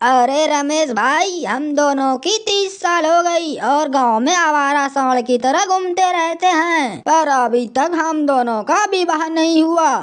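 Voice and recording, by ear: A woman does a cartoonish character voice with a high pitch. Her pace is fairly slow and she hardly pauses.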